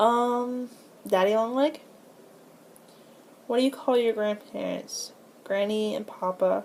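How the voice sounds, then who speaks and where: A woman speaks fairly slowly in a fairly high pitch. Her pitch varies in an ordinary way. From Florida, USA. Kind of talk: casual talk to camera, accent tag. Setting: filmed on a tablet at home.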